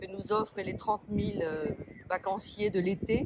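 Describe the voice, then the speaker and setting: Over noticeable background noise, a woman talks at medium pitch with fairly even intonation. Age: 60s. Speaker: shopkeeper and municipal election candidate. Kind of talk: interview. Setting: outdoors by a pond, sunny.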